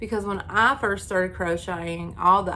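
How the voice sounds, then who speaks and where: A woman speaks with an Appalachian accent. Audible room echo surrounds her voice. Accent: Appalachian Kentucky. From eastern Kentucky, Knott County (Appalachia). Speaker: crochet YouTuber. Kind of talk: casual chat. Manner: casual, filler-heavy.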